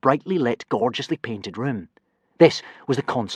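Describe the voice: Lively intonation in plain reading aloud, with a quiet background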